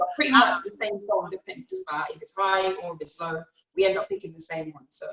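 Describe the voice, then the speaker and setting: With lively intonation and big swings in loudness, a woman of medium pitch talks at a very fast pace. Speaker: R&B singer. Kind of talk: interview.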